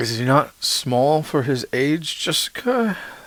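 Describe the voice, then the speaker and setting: In a put-on character voice, a man speaks fairly slowly with a fairly high pitch and a wheezy sound. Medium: read story. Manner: wheezy, knowing.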